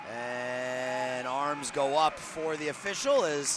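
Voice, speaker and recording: A man with a slight New England accent talks at a fairly high pitch for a man, his pitch varying in an ordinary way over noticeable background noise. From New England, Boston. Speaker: sports play-by-play announcer. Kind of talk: live commentary.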